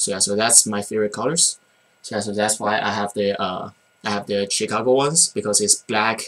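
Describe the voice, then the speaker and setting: With a Chinese accent, a man talks in a fairly low pitch and a bright, sharp tone. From China. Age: 20s. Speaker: college student sneaker vlogger. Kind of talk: casual vlog. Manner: halting, many fillers and repeats.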